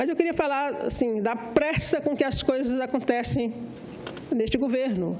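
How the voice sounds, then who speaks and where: A woman speaks in a high pitch with lively intonation. There is noticeable background noise and audible room echo. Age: 60s. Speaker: senator. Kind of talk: parliamentary speech. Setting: senate floor.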